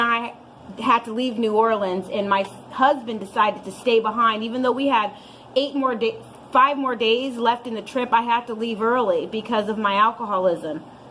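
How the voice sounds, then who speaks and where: A woman with an American accent talks at a moderate pace and a fairly high pitch. Her intonation is fairly even, and noticeable background noise is present. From Santa Cruz, California. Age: 30s. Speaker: recovering alcoholic. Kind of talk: personal recovery story talk.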